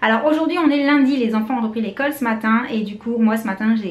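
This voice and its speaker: Amid noticeable background noise and audible room echo, a woman talks very fast at a fairly high pitch with ordinary pitch variation. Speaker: beauty vlogger, mother. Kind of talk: casual vlog.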